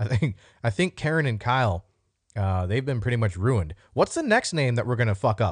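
A man talks at a fairly quick pace in a somewhat breathy, medium-pitched voice with lively intonation, over a quiet background. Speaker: podcast host and military veteran. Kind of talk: casual solo monologue. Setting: home recording with new microphone. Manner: casual, off the cuff.

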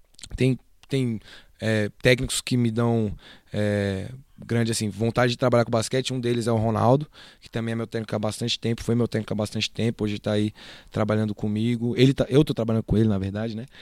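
Very clean and silent in the background, with a dry, close sound and no echo, the recording catches a man at medium pitch talking at a very fast pace in a monotone, flat intonation. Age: 20s. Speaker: basketball assistant coach. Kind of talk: casual interview.

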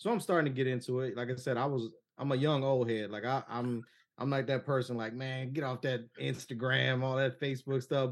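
Against a quiet background, the speaker has an unremarkable speaking voice and an American accent and talks at a fairly quick pace. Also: man. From Cleveland, Ohio. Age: 40s. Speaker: sports podcast host. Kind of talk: casual chat.

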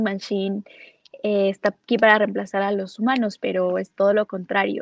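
In a monotone, flat intonation, a woman speaks at a fairly slow pace. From Ecuador. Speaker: digital marketing specialist. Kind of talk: interview on livestream.

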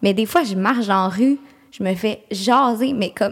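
A woman with a Quebec accent speaks at a fairly slow pace. Her pitch is fairly high, with ordinary pitch variation. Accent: Québécois French. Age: 20s. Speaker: podcast co-host. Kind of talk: casual chat.

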